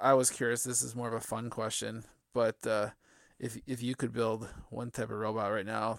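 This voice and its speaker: On a very clean recording with a silent background, a man with vocal fry speaks at a fairly quick pace in a medium pitch, his intonation monotone and flat. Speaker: podcast host. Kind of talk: interview, casual conversation.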